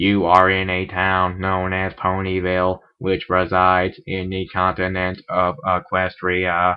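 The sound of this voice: Using a robotic, put-on character voice, a man speaks at a very deep, low pitch in a monotone, flat way, at a fairly slow pace with hardly any pauses.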